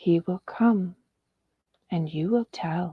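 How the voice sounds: A female-sounding voice uses a put-on character voice with a hissing quality. The pitch sits at a medium level.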